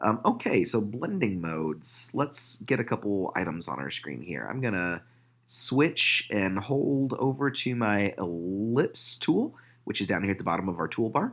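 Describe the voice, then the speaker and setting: On a very clean recording with a silent background, a man speaks at a fairly slow pace with vocal fry. His pitch swings very widely. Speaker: photoshop tutor. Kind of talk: tutorial. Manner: many fillers, uh and um.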